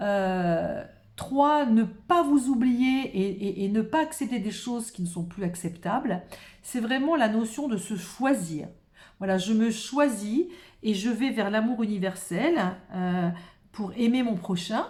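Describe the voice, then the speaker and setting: A somewhat breathy voice moves at a very slow pace with lively intonation. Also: woman. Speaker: tarot card reader. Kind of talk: improvised card reading. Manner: halting.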